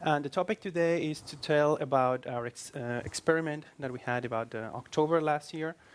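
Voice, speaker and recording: With a Spanish accent, a man speaks at a fairly quick pace with hardly any pauses and ordinary pitch variation. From Spain. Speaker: iOS developer. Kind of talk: tech meetup presentation.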